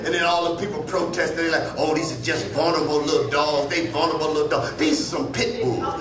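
Loud background noise around a man talking at a medium speed. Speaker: stand-up comedian. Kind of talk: stand-up comedy set. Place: stage. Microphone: handheld.

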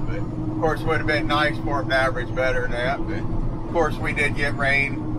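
Loud noise fills the background as a man speaks. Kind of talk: casual vlog chat. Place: car. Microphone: phone near.

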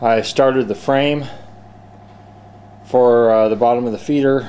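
Light background noise is present. The pace is moderate. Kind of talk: casual vlog chat. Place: farm machine. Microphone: phone near.

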